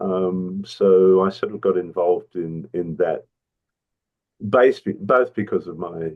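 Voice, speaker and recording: This man has an Australian accent. He talks at a fairly slow pace. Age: 70s. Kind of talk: interview. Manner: halting, many fillers.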